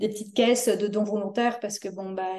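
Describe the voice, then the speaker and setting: Her tone dark and mellow, a woman talks at a fairly quick pace in a monotone, flat delivery. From France. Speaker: community volunteer organizer. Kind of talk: interview. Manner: hesitant, many fillers.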